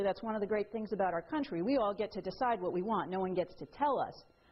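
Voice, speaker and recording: A woman speaks with a New York accent. Her tone is animated. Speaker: attorney and author giving a talk. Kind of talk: lecture. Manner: fast.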